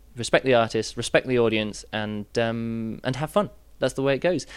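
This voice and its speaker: A man with a British accent at medium pitch and a moderate pace, with fairly even intonation, in a very clean recording with a silent background. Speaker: juggler and show host. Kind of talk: workshop talk. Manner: hesitant with many fillers.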